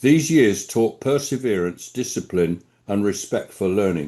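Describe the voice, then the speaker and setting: A man with a southern English accent speaks at a moderate pace in a dark, mellow tone, his intonation lively against a quiet background. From England, London. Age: 80s+. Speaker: quality management consultant. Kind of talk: award acceptance speech. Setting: stage at award ceremony. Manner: formal.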